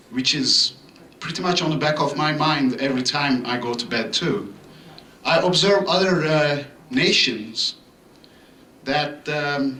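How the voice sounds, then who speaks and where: A man with a fairly high pitch and ordinary pitch variation speaks at a fairly slow pace with long, frequent pauses, amid audible room echo and noticeable background noise. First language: not English. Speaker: resident speaking at public comment. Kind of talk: public comment at council meeting. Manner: halting, many fillers.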